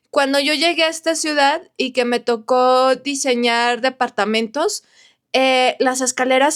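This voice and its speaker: A woman speaks in an animated tone. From northern Mexico, Saltillo, Coahuila. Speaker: architect and vlogger. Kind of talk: casual vlog. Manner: chatty, animated.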